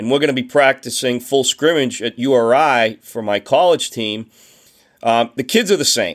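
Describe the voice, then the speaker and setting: A man with a Boston accent speaks at a medium pitch and a moderate pace. The recording is very clean, with a silent background. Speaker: baseball coach and historian. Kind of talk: casual interview.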